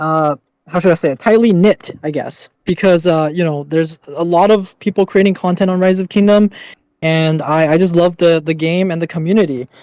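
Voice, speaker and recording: Recorded dry and close with no echo, a man speaks at a moderate pace in a high pitch for a man with fairly even intonation. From China, moved to Canada young. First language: Mandarin Chinese. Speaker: gamer, kingdom leader. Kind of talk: casual interview.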